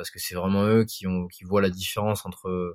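This man speaks at a low pitch with a slightly mellow tone.

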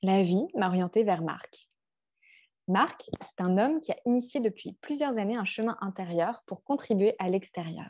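A plain, everyday voice with lively intonation at a fairly slow pace. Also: woman, medium pitch for a woman. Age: 30s. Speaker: life coach. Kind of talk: podcast monologue.

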